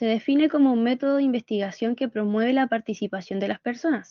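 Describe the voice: Recorded with a dry, close sound and no echo, a woman talks at a fairly quick pace with a fairly high pitch.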